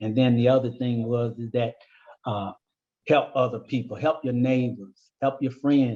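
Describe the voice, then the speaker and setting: At a fairly slow pace, a man speaks with fairly even intonation at a medium pitch in a dark, mellow tone. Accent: American. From US Midwest, Cleveland, Ohio. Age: 70s. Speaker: community member interviewee. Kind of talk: oral history interview. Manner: halting.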